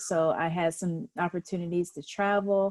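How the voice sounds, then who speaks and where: Against a quiet background, a woman with an American accent speaks in a dark, mellow tone. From US South, Augusta, Georgia. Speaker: mindfulness teacher. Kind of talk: interview. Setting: live stream video call.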